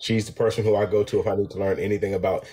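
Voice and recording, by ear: A man talks at a very fast pace, his dark, mellow tone carrying a slightly husky edge.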